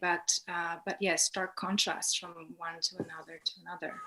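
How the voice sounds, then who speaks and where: A woman with a Polish accent talks at a moderate pace and fairly low pitch. Her intonation is monotone and flat, with noticeable background noise. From Poland. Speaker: art graduate student. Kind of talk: interview. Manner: halting, many fillers.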